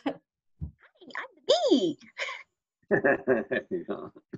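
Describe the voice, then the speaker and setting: Middle pitch in a put-on character voice. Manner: playful.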